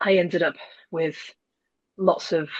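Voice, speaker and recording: A woman talks with a British accent. Her pace is moderate and her intonation fairly even. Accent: British, non-American. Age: 30s. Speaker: former insomnia client. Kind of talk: interview testimony.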